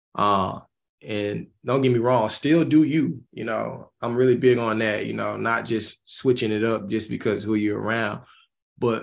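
This man has a Southern US accent. His intonation stays fairly even. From Mississippi. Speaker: musician. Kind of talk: interview.

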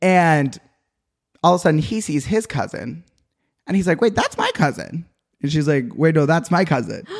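A man with an American accent talks at a fairly high pitch, with vocal fry and lively intonation. His pace is moderate, broken by long, frequent pauses. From Utah. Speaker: podcast guest. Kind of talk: casual chat. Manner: energetic.

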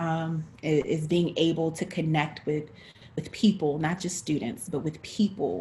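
Speaking fairly slowly, a woman has a normal speaking voice at a fairly low pitch. Her intonation is fairly even. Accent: American. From North Carolina. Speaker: actress, director and teaching artist. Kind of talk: interview.

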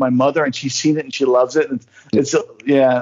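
A man with an American accent speaks at a very fast pace. His tone is animated. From northern New Jersey. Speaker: podcast guest. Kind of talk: casual chat.

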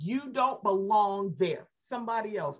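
A somewhat breathy woman with an American accent at a fairly slow pace. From Baltimore, US. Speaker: podcaster, superfan guest. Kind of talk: casual chat.

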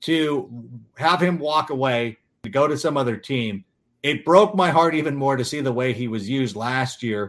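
A man speaks in an unremarkable speaking voice, fairly high in pitch. His intonation is lively. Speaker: podcast host. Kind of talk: casual sports chat.

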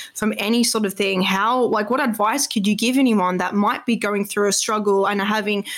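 Fairly quick and fairly high-pitched, a woman speaks in an Australian accent. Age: 20s. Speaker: podcast host. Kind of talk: casual interview chat.

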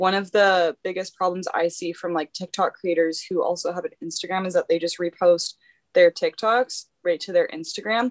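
A woman's normal speaking voice at medium pitch and a moderate pace, with a dry, close sound, no echo, and a quiet background. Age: 20s. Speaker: instagram influencer and clothing brand owner. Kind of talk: casual interview chat.

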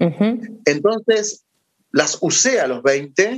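A man talks with lively intonation. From Argentina. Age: 30s. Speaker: philosopher and teacher. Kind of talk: casual interview.

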